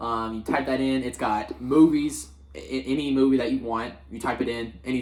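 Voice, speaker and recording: A man with a medium-pitched voice is heard over noticeable background noise. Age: 20s. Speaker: podcast co-host. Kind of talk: casual chat. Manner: animated.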